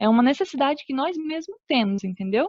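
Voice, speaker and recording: A woman speaks in a high pitch with lively intonation. The sound is dry and close, with no echo. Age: 20s. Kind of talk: religious teaching talk. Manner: halting. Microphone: connection cutting out.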